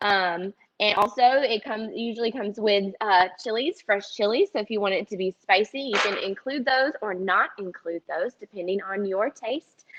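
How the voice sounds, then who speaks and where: A woman's fairly high voice in a Southern US accent, at a moderate pace with ordinary pitch variation and hardly any pauses. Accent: Southern twang. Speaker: dietitian. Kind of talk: cooking demonstration. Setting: teaching kitchen, live stream. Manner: casual, many filler ums.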